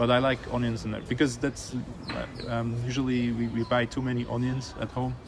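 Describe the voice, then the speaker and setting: Noticeable background noise sits behind a man talking at a fairly quick pace in a monotone, flat intonation. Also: medium pitch for a man. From Switzerland. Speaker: animation director. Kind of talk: casual interview chat. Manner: halting, many repeated words and fillers.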